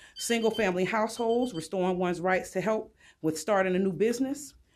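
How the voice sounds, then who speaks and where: The speech moves at a fairly quick pace, captured in a very clean recording with a silent background. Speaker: public commenter. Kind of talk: public comment speech at council. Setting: city council chamber.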